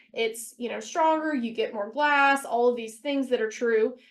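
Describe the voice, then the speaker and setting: A woman's high-pitched voice with ordinary pitch variation. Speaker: business owner and webinar presenter. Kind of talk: webinar presentation. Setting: webinar. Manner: fast.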